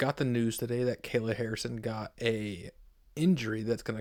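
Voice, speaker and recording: A soft-spoken man talks at a moderate pace. His pitch sits in the medium range. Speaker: MMA YouTuber. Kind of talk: casual fight picks monologue. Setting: home recording on laptop. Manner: quiet, talking softly; hesitant, many ums.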